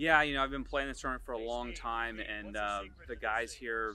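There is noticeable background noise as a man talks with fairly even intonation in a dry sound with no echo. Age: 30s. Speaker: amateur golfer, tournament champion. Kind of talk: post-round interview. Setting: outdoors at golf course. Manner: hesitant, many fillers. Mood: pleased, relaxed. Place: open country.

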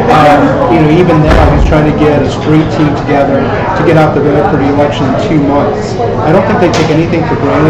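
Loud background noise fills the clip while the speaker keeps a moderate pace. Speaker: political journalist. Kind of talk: political panel discussion. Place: hall.

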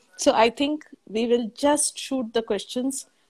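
At a fairly slow pace, a woman speaks with ordinary pitch variation. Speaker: gynecologist. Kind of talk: expert panel discussion. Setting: livestream video call. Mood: warm, calm. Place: home room.

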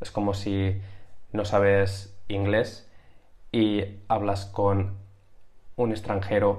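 A man's somewhat breathy voice comes over a quiet background. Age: 30s. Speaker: YouTuber teaching sales and persuasion; YouTuber teaching sales. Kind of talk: tutorial. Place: home room. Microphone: webcam.

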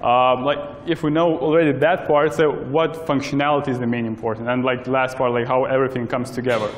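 Intonation stays fairly even as a man speaks at a very fast pace. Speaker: presenter. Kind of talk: lecture. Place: hall. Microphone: camera far.

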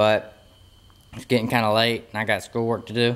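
Fairly quick pace from a male speaker. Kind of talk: casual vlog chat. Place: garage. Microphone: phone near.

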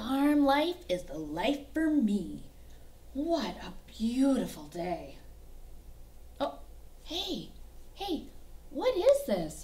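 In a cartoonish character voice, a woman speaks high and very slowly, with long, frequent pauses. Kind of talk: children's puppet show. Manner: eager, excitable.

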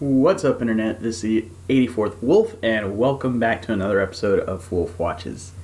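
A man speaks at a moderate pace in a fairly low, somewhat breathy voice. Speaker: video reaction host. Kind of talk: casual vlog chat. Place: home room. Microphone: earbuds.

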